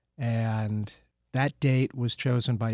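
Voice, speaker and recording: A man at a very slow pace with fairly even intonation, in a very clean recording against a silent background. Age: 60s. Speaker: lawyer and community spokesperson. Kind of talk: interview. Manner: hesitant fillers.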